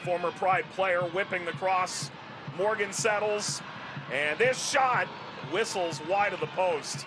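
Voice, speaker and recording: With long, frequent pauses, a man in a high pitch speaks at a very slow pace against noticeable background noise. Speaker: play-by-play commentator. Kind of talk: sports commentary, crisp play-by-play calls with stats and trivia. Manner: brisk, clipped play-by-play narration; dry, wry humor.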